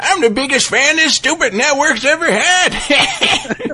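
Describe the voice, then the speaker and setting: A put-on character voice, high-pitched, at a fairly slow pace. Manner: angry, shouting, gruff.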